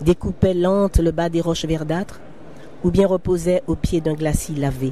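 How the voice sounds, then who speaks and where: A woman with a plain, everyday voice speaks slowly-ish at a fairly slow pace and a fairly low pitch. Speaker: novelist reading her own book. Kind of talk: literary reading of a novel excerpt. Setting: live recording at a book fair.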